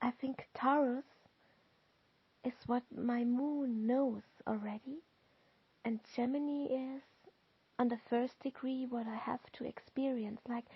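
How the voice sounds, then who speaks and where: A woman with a German accent, high-pitched and in a monotone, flat intonation, at a very slow pace with long, frequent pauses. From Austria, Lower Austria countryside. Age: 40s. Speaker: tarot card reader. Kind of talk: tarot reading and guided visualization. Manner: halting.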